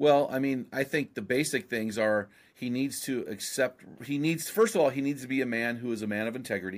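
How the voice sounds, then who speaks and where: Recorded very cleanly with a silent background, a man with an unremarkable speaking voice and an American accent talks at a fairly quick pace, with medium pitch and ordinary pitch variation. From US West Coast, San Luis Obispo, California. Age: 50s. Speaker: author and podcast host. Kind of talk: interview conversation.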